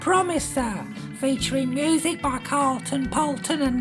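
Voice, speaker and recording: Loud music plays behind a man doing a put-on character voice. His pitch is extremely high and his pace fairly slow. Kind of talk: comedy radio announcement. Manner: cheerful, prim.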